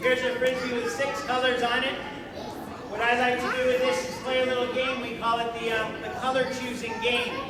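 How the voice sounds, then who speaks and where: With a Canadian accent, a man uses a raised, projected voice at an extremely high pitch for a man and a fairly quick pace, with audible room echo and crowd noise in the background. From Canada. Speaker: frisbee performer. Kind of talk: live performance for a family audience. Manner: animated.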